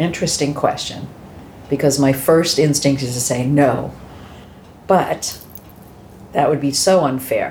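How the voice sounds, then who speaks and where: With an American accent and a very deep, low voice, a woman speaks at a fairly slow pace with long, frequent pauses and audible room echo. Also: fairly even intonation. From Massachusetts, US. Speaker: adoptee sharing her story. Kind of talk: interview testimony.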